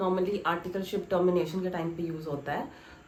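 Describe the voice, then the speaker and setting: With audible room echo and music behind her, a woman talks at a moderate pace. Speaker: YouTuber, chartered accountancy trainee. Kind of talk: vlog Q&A. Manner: casual, code-switching Hindi and English.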